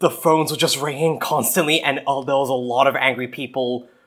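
A man speaks in an Australian accent with ordinary pitch variation. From Australia, New South Wales. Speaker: podcast co-host. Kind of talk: casual chat. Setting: remote call.

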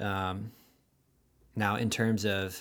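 A man's fairly low, monotone voice with flat intonation on a very clean recording with a silent background. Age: 20s. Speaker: podcast guest. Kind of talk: casual chat. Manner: articulate.

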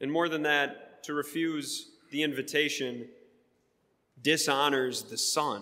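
Speaking at a fairly slow pace with an American accent, a man with a fairly high pitch keeps his intonation fairly even, leaving long, frequent pauses in a room with audible echo. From US Midwest, Wisconsin. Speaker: pastor. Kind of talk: sermon.

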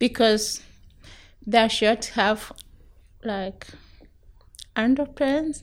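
With an East African accent, a woman speaks very slowly at a fairly high pitch. Her speech has long, frequent pauses. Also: ordinary pitch variation. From Tanzania. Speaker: refugee. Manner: halting limited English.

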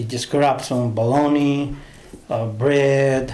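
In a Honduran accent, a man talks at a fairly high pitch with ordinary pitch variation. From Honduras. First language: Spanish. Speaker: translator. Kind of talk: casual interview, personal storytelling.

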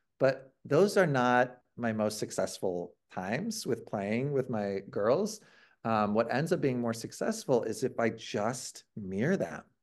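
Speaking at a fairly slow pace with a US Midwestern accent, a man with a medium pitch is heard against a quiet background. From Ohio, US Midwest. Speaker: author and improv teacher. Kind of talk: interview conversation.

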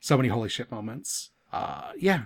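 This is a man speaking. His pitch sits at a medium level. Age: 30s. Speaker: podcast host. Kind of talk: casual chat.

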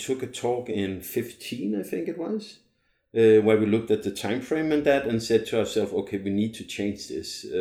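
With a Danish accent, a man of medium pitch speaks at a moderate pace in a dark, mellow tone with ordinary pitch variation. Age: 40s. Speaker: long-term traveling parent. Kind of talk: casual chat.

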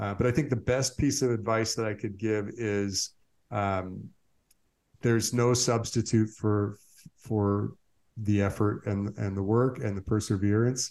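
Fairly low in pitch and fairly even in intonation, a man with an unremarkable speaking voice talks at a fairly slow pace. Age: 40s. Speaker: surf business owner. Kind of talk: interview conversation.

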